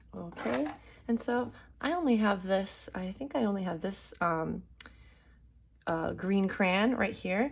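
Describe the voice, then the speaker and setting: A woman, somewhat breathy and medium in pitch, with lively intonation, a fairly slow pace, and long, frequent pauses. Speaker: elementary school art teacher. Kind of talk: drawing tutorial for children. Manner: warm, encouraging.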